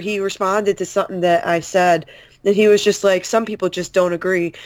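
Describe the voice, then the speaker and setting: A woman speaks in a normal speaking voice at a medium pitch. The recording is very clean, with a silent background. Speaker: podcast co-host. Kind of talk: casual chat.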